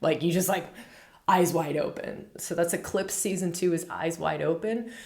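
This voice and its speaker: Audible room echo surrounds a woman speaking. Her fairly low voice has an animated tone. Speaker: astrologer. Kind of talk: spiritual astrology talk. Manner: fast.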